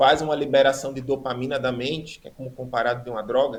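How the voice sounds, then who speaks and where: Speaking at a fairly quick pace with fairly even intonation, a man has an unremarkable speaking voice. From Brazil, Rio Grande do Norte (Natal). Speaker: preacher giving testimony. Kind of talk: testimony.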